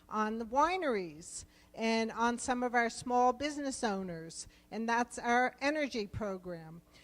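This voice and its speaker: This woman has a fairly high pitch and a New Jersey accent. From New Jersey, US East Coast. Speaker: rural development program official. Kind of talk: conference presentation.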